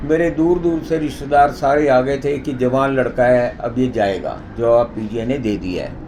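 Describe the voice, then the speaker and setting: At a moderate pace and medium pitch, a man talks with ordinary pitch variation amid noticeable background noise and audible room echo. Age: 60s. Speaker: president of a yoga society. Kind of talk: interview testimony.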